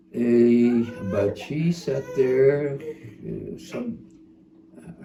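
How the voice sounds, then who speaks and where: Over noticeable background noise, a man speaks at a very slow pace with a medium pitch. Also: ordinary pitch variation. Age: 90s. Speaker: retired history professor. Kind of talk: interview. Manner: halting.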